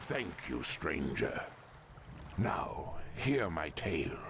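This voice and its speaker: A man's put-on character voice at a medium pitch, with clear background noise. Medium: video game. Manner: formal, weary.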